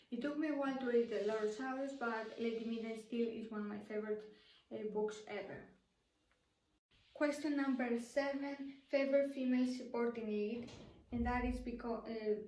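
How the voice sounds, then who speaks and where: Delivery comes at a moderate pace with fairly even intonation. Audible room echo surrounds the voice. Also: woman, high pitch for a woman. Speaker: book youtuber. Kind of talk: casual vlog talk to camera. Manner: halting, many fillers and restarts.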